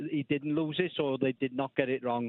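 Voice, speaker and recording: Speaking with a Welsh accent, a man keeps a moderate pace and fairly even intonation. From Wales. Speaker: caller. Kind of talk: casual chat. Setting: phone call. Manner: hesitant, with many fillers.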